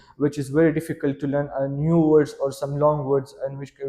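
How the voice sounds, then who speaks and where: A man's fairly high-pitched, monotone voice with flat intonation against noticeable background noise. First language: Pashto. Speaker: IELTS test candidate. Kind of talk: mock speaking exam interview. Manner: halting, many filler uhs.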